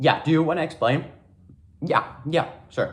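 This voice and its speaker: Somewhat breathy, a man speaks with a non-native accent. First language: not English. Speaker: YouTuber. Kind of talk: casual chat. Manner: animated.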